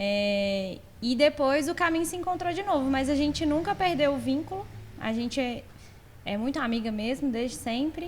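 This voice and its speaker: High female voice full of lively intonation. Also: moderate pace. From Belo Horizonte, Brazil. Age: 30s. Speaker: furniture store co-owner, salesperson. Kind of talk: podcast interview.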